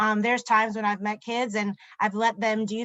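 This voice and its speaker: This woman's voice sits fairly high in pitch. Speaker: ESL teacher. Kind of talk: webinar presentation. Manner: fast.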